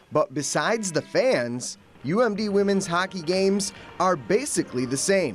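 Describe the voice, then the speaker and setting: A man at a high pitch and moderate pace, energetic in tone and lively in intonation, with music in the background. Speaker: sports anchor and reporter. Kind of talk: TV sports news reporting. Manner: energetic, broadcast delivery.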